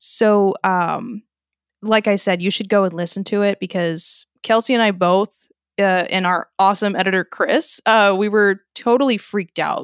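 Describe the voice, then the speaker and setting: A woman with an ordinary speaking voice at a medium pitch and ordinary pitch variation, recorded very cleanly against a silent background with a dry, close sound and no echo. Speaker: podcast co-host. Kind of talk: casual chat.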